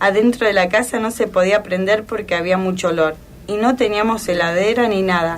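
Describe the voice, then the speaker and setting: At a moderate pace, a woman with a Rioplatense accent speaks in a medium pitch and fairly even intonation over noticeable background noise. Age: 80s+. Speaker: elderly woman sharing memories. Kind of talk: personal reminiscence on radio. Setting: radio program.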